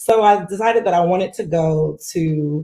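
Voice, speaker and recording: A woman with a Southern US accent speaks at a moderate pace in a medium pitch, her dark, mellow tone carrying ordinary pitch variation. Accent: Southern US country. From US South, Greenwood, South Carolina. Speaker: marine scientist. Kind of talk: conference keynote talk. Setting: virtual conference. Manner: casual, conversational.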